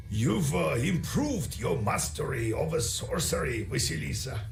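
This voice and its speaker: A man talks at a moderate pace in a put-on character voice of medium pitch, with clear background noise behind him. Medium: game stream.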